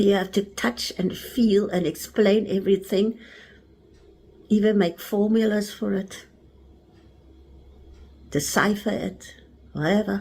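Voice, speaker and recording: In a South African accent, a woman speaks at a fairly slow pace with medium pitch and a dark, mellow tone. Her voice is somewhat breathy, her intonation fairly even, and her pauses long and frequent. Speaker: spiritual teacher. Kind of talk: spiritual talk.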